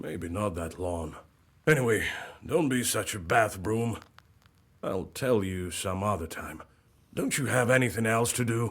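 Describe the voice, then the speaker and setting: Putting on a raspy character voice, a man talks at a fairly low pitch and a moderate pace with lively intonation and long, frequent pauses. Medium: video game. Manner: blunt, plain-spoken.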